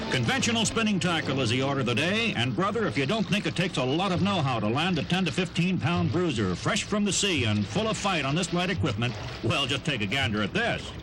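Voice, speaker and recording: Talking very fast with hardly any pauses, a man with a fairly high pitch makes very wide pitch swings at a very even loudness, over noticeable background noise. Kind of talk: vintage outdoor documentary narration.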